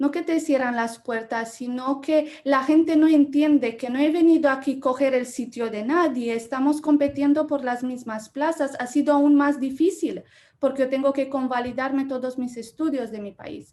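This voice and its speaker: Speaking in a Romanian accent, a woman with a high pitch and a dark, mellow tone keeps a moderate pace with fairly even intonation and hardly any pauses. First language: Romanian (speaking Spanish). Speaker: journalism lecturer. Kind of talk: Q&A discussion.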